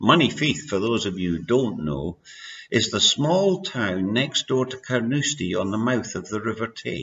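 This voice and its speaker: In a Scottish accent, a man speaks at a moderate pace and medium pitch, with vocal fry and very wide pitch swings. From Scotland. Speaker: amateur author reading his own story. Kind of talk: reading aloud.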